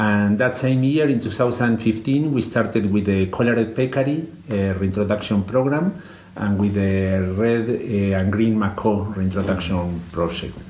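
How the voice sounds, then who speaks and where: Speaking at a moderate pace with a Spanish accent, a man uses a fairly low pitch, ordinary pitch variation and very even loudness, with noticeable background noise and audible room echo. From Argentina. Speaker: conservation biologist. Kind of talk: interview. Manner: halting, many fillers.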